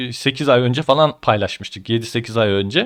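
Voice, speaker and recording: With an unremarkable speaking voice, a man talks at a moderate pace using lively intonation, and the recording is very clean with a silent background. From Ankara, Turkey. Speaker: crypto YouTuber. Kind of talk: tutorial.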